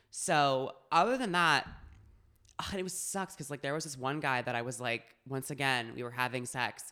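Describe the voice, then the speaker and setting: An animated tone at a moderate pace, on a very clean recording with a silent background. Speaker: podcast co-host. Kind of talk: casual banter, comedic storytelling. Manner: animated, excitable.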